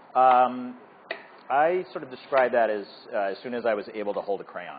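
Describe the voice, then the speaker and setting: A man's voice, medium in pitch and normal in its pitch movement, comes at a moderate speed against noticeable background noise. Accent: American. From Massachusetts, north shore near Boston. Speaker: artist. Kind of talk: casual chat.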